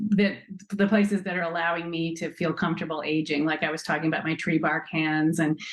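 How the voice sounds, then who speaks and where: At a fairly quick pace, an ordinary speaking voice talks with fairly even intonation. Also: woman. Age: 60s. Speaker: nonprofit co-founder. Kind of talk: interview.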